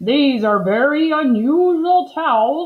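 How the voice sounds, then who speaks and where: Using a put-on character voice, a woman speaks in a high pitch at a fairly slow pace. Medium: read story.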